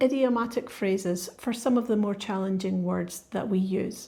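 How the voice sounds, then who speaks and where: A woman speaks in a Scottish accent. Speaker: podcast host. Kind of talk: scripted narration; casual chat.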